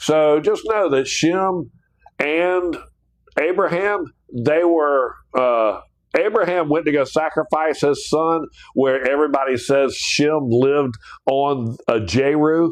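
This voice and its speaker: Very slow and very even in loudness, a man with a Southern US accent speaks at a fairly high pitch with ordinary pitch variation. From US South (South Georgia / North Florida). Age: 60s. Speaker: Bible teacher. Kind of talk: livestream Bible study. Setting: live stream. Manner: casual, animated.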